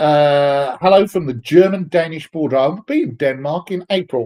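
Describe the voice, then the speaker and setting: A man speaks with a British accent. His tone is dark and mellow. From England, London. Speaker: software developer advocate, live stream host. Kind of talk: live stream Q&A reading chat. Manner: casual, hesitant with fillers.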